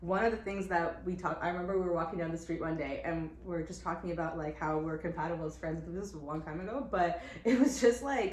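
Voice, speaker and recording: A woman at a fairly low pitch, very fast with hardly any pauses, ordinary pitch variation, audible room echo and noticeable background noise. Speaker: entrepreneur, company co-founder. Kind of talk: casual chat. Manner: loud.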